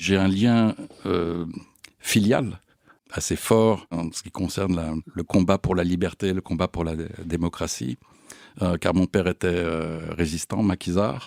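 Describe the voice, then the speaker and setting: Speaking at a very slow pace, a man with a very deep, low pitch keeps his intonation fairly even in a dry, close sound with no echo. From France (Paris). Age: 60s. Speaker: volunteer association delegate, businessman. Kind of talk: testimony. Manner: hesitant, frequent 'euh'.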